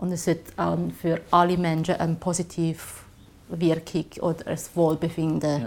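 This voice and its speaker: A woman with a Chinese accent speaks at a moderate pace with vocal fry and a monotone, flat intonation. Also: fairly low pitch for a woman. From China, Shanghai. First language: Chinese (speaking German). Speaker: graphic designer. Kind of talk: interview. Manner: halting.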